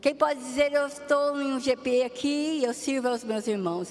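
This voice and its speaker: Amid noticeable background noise, a woman talks at a high pitch and moderate pace with ordinary pitch variation. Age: 60s. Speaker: pastor. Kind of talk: sermon.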